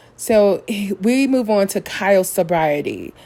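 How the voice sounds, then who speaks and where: Her pitch sits at a medium level for a woman, with ordinary variation, as she speaks with an American accent. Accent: slightly country. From Missouri. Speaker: reality TV recap youtuber. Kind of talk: podcast-style show recap.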